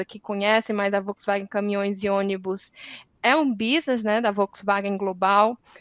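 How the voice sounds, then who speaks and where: In a Ceará accent, a woman speaks at a medium pitch. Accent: Northeastern Brazilian (Ceará). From Northeast Brazil, Ceará. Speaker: environmental engineer, industry sustainability manager. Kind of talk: panel discussion. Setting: academic symposium round table.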